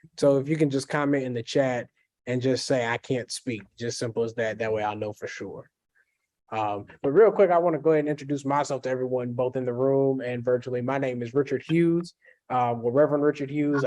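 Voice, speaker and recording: A man with a Kentucky accent talks very fast at a medium pitch in a dark, mellow tone, with ordinary pitch variation over a quiet background. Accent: Kentucky Southern US. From Kentucky, US (Jessamine County near Lexington). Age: 20s. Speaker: pastor. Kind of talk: workshop presentation. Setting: hybrid in-person and video session.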